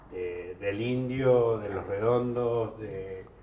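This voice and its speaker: In a room with audible echo and noticeable background noise, a man with a medium-pitched voice speaks at a very slow pace with fairly even intonation. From Argentina, La Plata. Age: 70s. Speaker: political commentator. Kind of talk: panel discussion. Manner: halting.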